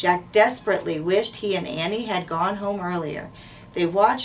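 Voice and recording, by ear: A text is read aloud. The delivery sounds natural.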